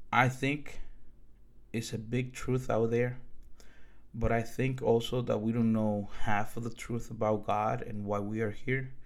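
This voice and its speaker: A man's medium-pitched voice in a Dominican accent, fairly slow and monotone with flat intonation, with audible room echo. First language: Spanish. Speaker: podcaster. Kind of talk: monologue storytelling.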